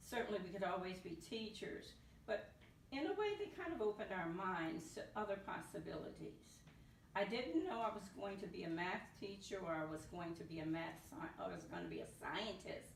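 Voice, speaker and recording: A woman talks at a moderate pace in an American accent. Audible room echo surrounds her voice. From US South, New Orleans. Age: 70s. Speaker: retired NASA mathematician. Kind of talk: interview. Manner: halting, with repetitions.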